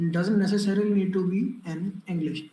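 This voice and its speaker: A man with an Indian accent, amid noticeable background noise. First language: Hindi. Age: young. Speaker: public speaking coach and exam mentor. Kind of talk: online workshop talk. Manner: hesitant, many fillers.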